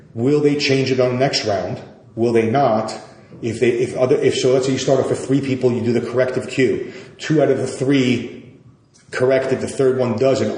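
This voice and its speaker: Over noticeable background noise and audible room echo, a man in a New York accent talks at a fairly quick pace with ordinary pitch variation. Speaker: yoga teacher. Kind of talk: interview conversation. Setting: podcast recording. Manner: fast.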